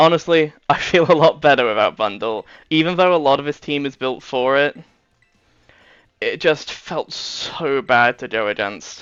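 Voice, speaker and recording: A man with a British accent speaks at a moderate pace in a fairly high pitch with ordinary pitch variation. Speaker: gaming YouTuber. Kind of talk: gameplay commentary. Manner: casual, hesitant with fillers.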